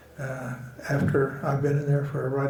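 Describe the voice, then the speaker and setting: Someone with an American accent is heard with audible room echo and noticeable background noise. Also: man. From Oklahoma. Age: 80s+. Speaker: western artist. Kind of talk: casual interview conversation. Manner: halting, with many fillers and repetitions.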